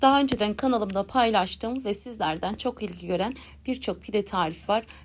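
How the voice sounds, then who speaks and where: Her voice is an ordinary speaking voice at medium pitch for a woman. She keeps a moderate pace and ordinary pitch variation. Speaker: cooking youtuber. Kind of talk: cooking tutorial. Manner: warm.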